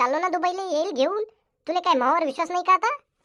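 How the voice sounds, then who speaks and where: A woman's squeaky, cartoonish character voice at an extremely high pitch, with ordinary pitch variation and a very fast pace. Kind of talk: comic overacting. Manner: loud, bickering.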